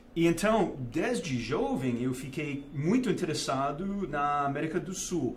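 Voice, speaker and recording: A man with a Texan accent, fairly high pitch and lively intonation, at a fairly slow pace, with noticeable background noise and audible room echo. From Texas, Dallas. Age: 50s. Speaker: investment fund manager. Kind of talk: interview. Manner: halting.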